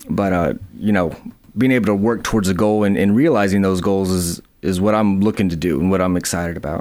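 A man with an Alabama accent speaks at a very fast pace. His pitch is fairly low, with ordinary variation. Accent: Southern US (Alabama). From US South, northern Alabama (Huntsville/Madison). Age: 30s. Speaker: small business owner. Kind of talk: interview. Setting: radio studio.

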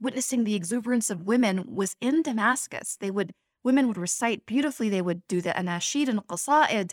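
A woman with a plain, everyday voice speaks at a fairly high pitch and fairly quick pace, with lively intonation. The recording is very clean, with a silent background and a dry, close sound with no echo. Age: 40s. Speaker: Islamic teacher. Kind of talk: interview.

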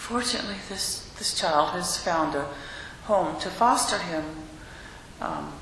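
A woman talks at a fairly slow pace with long, frequent pauses. Noticeable background noise runs behind her. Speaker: congregation member. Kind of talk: group discussion. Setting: church. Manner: blunt.

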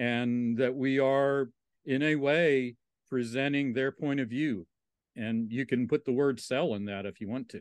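With an American accent and a plain, everyday voice, a man talks at a fairly slow pace and medium pitch with ordinary pitch variation, in a dry, close sound with no echo over a quiet background. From Southwest Virginia, Appalachia. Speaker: interpretive trainer and consultant. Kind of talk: casual interview conversation. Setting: remote call.

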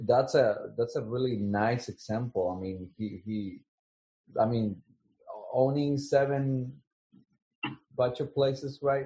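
A man speaks at a very slow pace with long, frequent pauses. His medium-pitched voice is somewhat breathy, with ordinary pitch variation. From Latin America. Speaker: teacher. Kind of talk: interview.

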